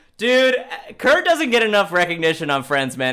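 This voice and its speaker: A man with an American accent uses a raised, projected voice, high in pitch and bright and sharp in tone, with very wide pitch swings. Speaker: podcast host. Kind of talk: comedic interview chat. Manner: joking, rambling, comedic.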